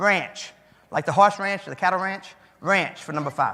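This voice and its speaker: Moving at a moderate pace, a man with a bright, sharp tone talks at a high pitch with ordinary pitch variation. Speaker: keynote speaker, memory trainer. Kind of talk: live memory demonstration with audience.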